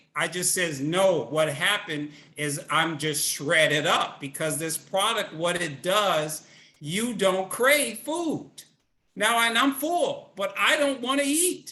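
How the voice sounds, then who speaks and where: A man's raised, projected voice, bright and sharp in tone, at a fairly slow pace with very wide pitch swings. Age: 60s. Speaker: network marketing field leader. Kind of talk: webinar interview. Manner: animated.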